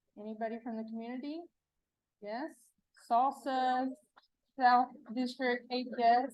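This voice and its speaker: A woman's high-pitched voice with an East Texas accent, at a fairly slow pace. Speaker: adult protective services presenter. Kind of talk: conference presentation. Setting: stage with live audience. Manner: animated, engaging with audience; casual.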